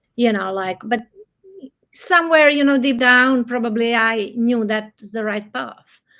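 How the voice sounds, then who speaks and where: A woman's fairly high, bright, sharp voice at a fairly slow pace. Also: ordinary pitch variation. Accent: Croatian. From Croatia, Adriatic coast. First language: Croatian. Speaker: novelist. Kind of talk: interview conversation. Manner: halting.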